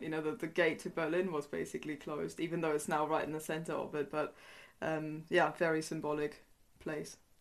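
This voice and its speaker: With a German accent, a woman talks at a fairly quick pace in a very deep, low pitch and fairly even intonation over a quiet background. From East Germany. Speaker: historian and author. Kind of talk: interview.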